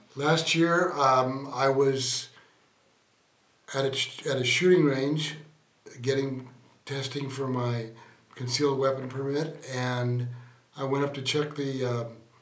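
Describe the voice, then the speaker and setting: Speaking very slowly in a monotone, flat intonation, a man at a medium pitch leaves long, frequent pauses, with audible echo in the room. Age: 70s. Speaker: stroke survivor. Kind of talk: interview. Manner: halting.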